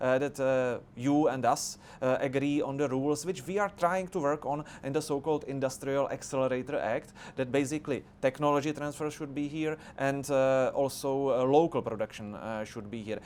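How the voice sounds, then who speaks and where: Here is a man with a Czech accent and a fairly high voice. He speaks at a fairly quick pace with hardly any pauses. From Czech Republic. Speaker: politician. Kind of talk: debate discussion. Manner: halting, many filler sounds.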